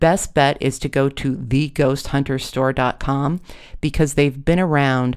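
Reading voice, natural

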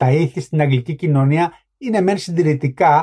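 Somewhat breathy and fairly high-pitched, a man speaks at a moderate pace with a dark, mellow tone and ordinary pitch variation. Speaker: author and book podcast host. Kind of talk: book review commentary, literary talk.

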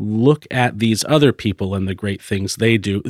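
A man with a normal speaking voice and an American accent talks at a moderate pace in a fairly low pitch with fairly even intonation, on a very clean, silent-background recording with a dry, close sound and no echo. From Florida. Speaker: podcast producer, business owner. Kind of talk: interview.

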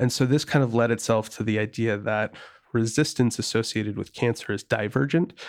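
In an American accent, a man talks at a fairly quick pace and medium pitch in an unremarkable speaking voice. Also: fairly even intonation. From rural Wisconsin. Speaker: biotech startup founder and CEO. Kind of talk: interview.

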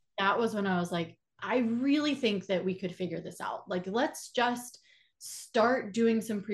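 A somewhat breathy voice with an American accent, at a moderate pace. The pitch varies in an ordinary way. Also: woman. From Atlanta, Georgia, US South. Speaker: filmmaker and actor. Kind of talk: interview.

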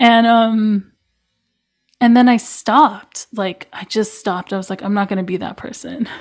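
A woman at fairly high pitch speaks at a moderate pace, somewhat breathy, with fairly even intonation and big swings in loudness. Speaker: musician and artist. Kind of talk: casual conversation.

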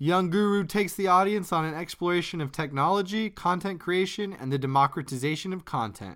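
A high-pitched man talks at a fairly quick pace with hardly any pauses. The recording is very clean and the background silent. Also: ordinary pitch variation. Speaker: podcast host. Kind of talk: scripted narration.

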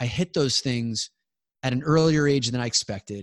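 The sound is dry and close, without any echo. The delivery keeps a moderate pace. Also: man. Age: 40s. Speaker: men's coach and former salesperson. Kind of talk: podcast interview. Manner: halting, with frequent repetitions.

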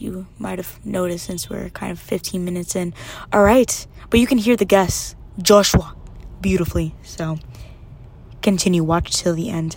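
A woman with an American accent speaks in an animated tone at a moderate pace against noticeable background noise. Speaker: podcast host. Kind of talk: casual chat. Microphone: too far from the mic.

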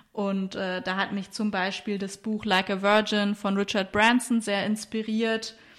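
Speaking at a fairly slow pace with hardly any pauses, a woman of medium pitch keeps a monotone, flat intonation. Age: 30s. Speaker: entrepreneur and sustainability consultant. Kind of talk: interview.

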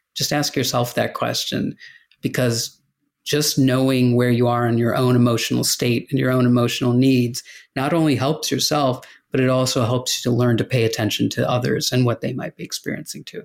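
A man with an American accent and an ordinary speaking voice, at medium pitch with fairly even intonation and a fairly quick pace, in a very clean recording with a silent background. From US Midwest, Chicago. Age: 50s. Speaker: author and corporate leadership speaker. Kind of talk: interview conversation.

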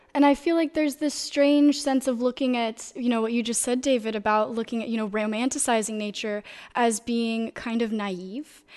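Using an unremarkable speaking voice, a woman with an American accent speaks at a fairly high pitch and a moderate pace, with ordinary pitch variation and hardly any pauses. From US South, Florida. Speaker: philosophy student. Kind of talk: panel discussion. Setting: studio.

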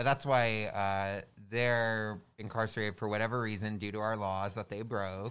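In a very clean recording with a silent background, a man with an American accent and a fairly low pitch talks at a moderate pace with monotone, flat intonation. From Southern California, Orange County. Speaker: election worker. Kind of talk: casual chat. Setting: studio.

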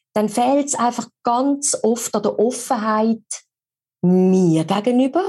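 Lively intonation marks this woman's high-pitched voice, which has a dark, mellow tone. She speaks in a Swiss accent. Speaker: voice-over artist and speech coach. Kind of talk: casual interview.

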